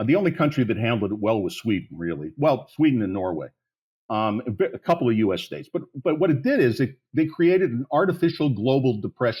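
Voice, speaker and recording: On a very clean recording with a silent background, a man talks at a very fast pace with a medium pitch and very wide pitch swings. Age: 60s. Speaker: policy advocate, plan founder. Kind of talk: podcast interview. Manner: animated.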